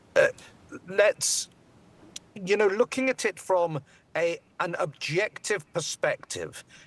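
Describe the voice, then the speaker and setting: At a very slow pace with long, frequent pauses, a man speaks high-pitched with a British accent and ordinary pitch variation. The sound is dry and close, with no echo. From Britain. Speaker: immigration lawyer. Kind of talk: TV news interview.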